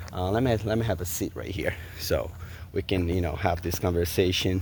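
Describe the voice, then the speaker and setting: A man with a Brazilian Portuguese accent talks at a moderate pace, his pitch very deep and low. His voice is somewhat breathy, with ordinary pitch variation. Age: 40s. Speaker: vlogger. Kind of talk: casual vlog monologue.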